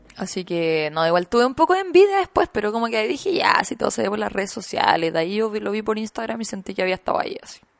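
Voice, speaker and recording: A woman's fairly high voice, very fast and with hardly any pauses, swinging very widely in pitch. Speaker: podcast co-host. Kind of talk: casual chat.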